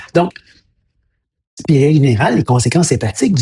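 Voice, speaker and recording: With a Quebec accent, a man speaks very fast in a fairly high, somewhat breathy voice with a dark, mellow tone and lively intonation, the sound dry and close with no echo. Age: 60s. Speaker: health educator, former science teacher. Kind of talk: educational monologue. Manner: hesitant, many fillers and repetitions.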